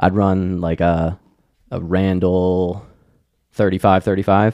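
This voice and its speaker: A man with an American accent speaks at a moderate pace in a very deep, low pitch and a dark, mellow tone, his intonation monotone and flat, in a dry, close sound with no echo on a very clean recording with a silent background. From Maryland, US. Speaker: downhill skateboarder and event organizer. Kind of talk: casual chat.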